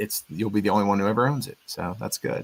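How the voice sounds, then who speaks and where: The speaker is a man. He talks very rapidly, with normal pitch variation. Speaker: livestream host of industry mixer. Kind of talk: casual livestream chat. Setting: live stream. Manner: halting, stutters.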